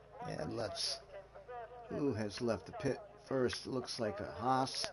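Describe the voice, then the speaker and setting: A man talks very slowly, with noticeable background noise behind him. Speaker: sim racing league commentator. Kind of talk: live commentary. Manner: loud.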